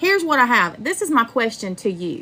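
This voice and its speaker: An animated woman's voice with an American accent, high-pitched, bright and sharp in tone, with very wide pitch swings. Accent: American Southern, some call it fake. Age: 40s. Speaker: true crime livestreamer. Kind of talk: livestream commentary. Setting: livestream.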